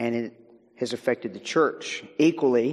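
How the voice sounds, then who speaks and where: A man with an American accent, an ordinary speaking voice, medium pitch, ordinary pitch variation and a moderate pace. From US South, Virginia. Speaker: guest speaker, minister and author on technology. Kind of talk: sermon. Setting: church.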